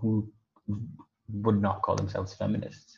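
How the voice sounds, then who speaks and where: A man speaks in a fairly low, somewhat breathy voice. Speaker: student guest. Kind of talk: casual discussion.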